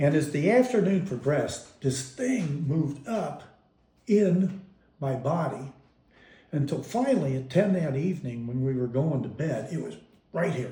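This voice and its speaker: This man has an American accent, a fairly high pitch and a dark, mellow tone that is somewhat breathy. He talks at a moderate pace with lively intonation, and room echo is audible. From US Midwest, Kansas City. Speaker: father telling life story. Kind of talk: family oral history interview.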